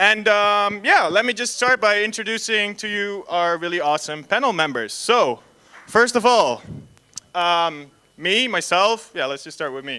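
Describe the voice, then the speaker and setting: A man with a Dutch accent uses a raised, projected voice at a high pitch, with a bright, sharp tone. His intonation is lively, his loudness swings widely, and his pace is moderate. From Netherlands. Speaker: panel moderator, concept artist. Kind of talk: panel discussion introduction. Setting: stage with audience at festival, PA system. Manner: hesitant, many fillers.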